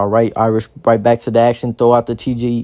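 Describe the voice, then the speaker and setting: This man has a medium pitch, an American accent, and a dark, mellow tone. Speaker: rugby match commentator. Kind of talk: live sports commentary over match footage.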